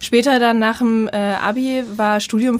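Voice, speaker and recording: A woman talks in a fairly high register, her intonation flat and monotone. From eastern Germany. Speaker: marketing and network expert, founder of a women's network. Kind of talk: interview.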